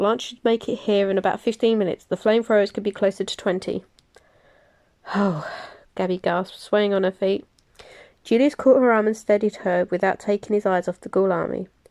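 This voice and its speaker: Her tone dark and mellow, a woman speaks at a fairly quick pace with fairly even intonation and long, frequent pauses, in a dry, close sound with no echo. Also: medium pitch for a woman. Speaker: amateur audiobook reader, crafting vlogger. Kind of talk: audiobook reading of a novel chapter.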